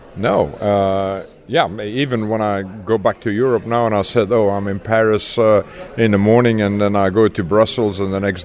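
Against noticeable background noise, a man with a fairly low pitch speaks at a moderate pace with fairly even intonation. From Belgium, Leuven. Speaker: beer brand ambassador. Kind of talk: interview. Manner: halting, many fillers.

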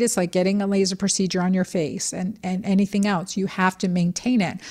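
A woman's unremarkable speaking voice with an American accent, medium in pitch and moderate in pace, on a very clean recording with a silent background. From Texas. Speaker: doctor and women's health expert. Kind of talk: expert interview.

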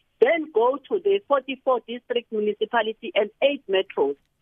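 A woman with a South African accent speaks in a high voice with very wide pitch swings. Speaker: politician, committee chairperson. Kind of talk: radio interview.

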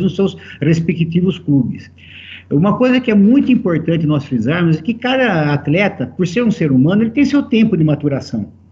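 With a plain, everyday voice, a man talks at a fairly quick pace and with lively intonation. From Brazil, São Paulo state (Americana). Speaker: football executive. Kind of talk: interview.

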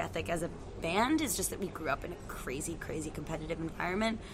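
Music plays behind a woman speaking with an American accent. She talks at a very fast pace. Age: 20s. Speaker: rock band singer and guitarist. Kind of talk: casual interview chat. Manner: animated.

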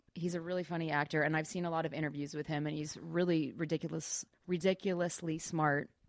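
A woman's very deep, low voice at a very fast pace with hardly any pauses, in a very clean recording with a silent background. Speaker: actress. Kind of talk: casual chat. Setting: studio. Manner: giggly, upbeat.

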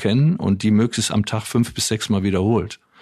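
This is a normal speaking voice, and its pitch varies in an ordinary way. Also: man. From Wuppertal, Germany. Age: 60s. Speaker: author and former radio manager. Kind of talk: interview conversation.

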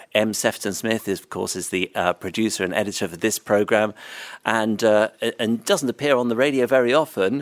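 Recorded very cleanly against a silent background, this man has an unremarkable speaking voice at medium pitch, with ordinary pitch variation, a moderate pace and a dry, close sound with no echo. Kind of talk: interview at training event. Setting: live event with audience.

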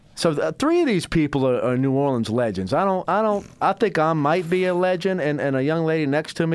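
On a very clean recording with a silent background, an unremarkable speaking voice keeps a moderate pace and ordinary pitch variation. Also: man. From US South. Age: 30s. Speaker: radio host. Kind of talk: casual chat.

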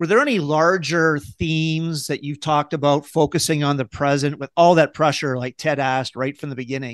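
Against a quiet background, a man speaks fairly quickly with hardly any pauses and fairly even intonation in an unremarkable speaking voice, the sound dry and close with no echo. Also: fairly high pitch for a man. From Windsor, Ontario, Canada. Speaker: podcast host, sports editor. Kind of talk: podcast interview.

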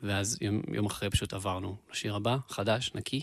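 A man talks in an unremarkable speaking voice, fairly low in pitch with ordinary pitch variation. His pace is moderate against a quiet background. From Israel, Beersheba. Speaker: musician and producer. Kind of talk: casual interview chat.

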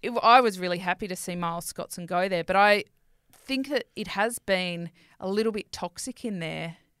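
In a very clean recording with a silent background and a dry, close sound with no echo, a woman speaks at a medium pitch with ordinary pitch variation. She has a normal speaking voice and a moderate pace. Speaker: podcast co-host. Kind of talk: casual banter podcast chat. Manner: laughs often, playful.

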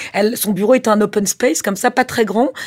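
A woman speaks at medium pitch. Her pace is fairly quick. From Corsica. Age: 40s. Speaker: film producer. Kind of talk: interview. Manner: halting.

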